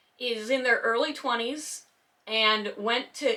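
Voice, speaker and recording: This woman has an American accent. Her tone is bright and sharp. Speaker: YouTuber discussing community drama. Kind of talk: casual commentary monologue. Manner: calm but sarcastic.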